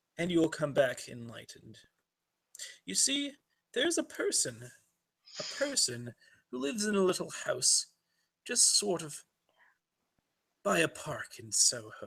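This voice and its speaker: Using a put-on character voice, a man speaks high-pitched at a moderate pace with long, frequent pauses. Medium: actual play. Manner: taunting, sing-song repetition.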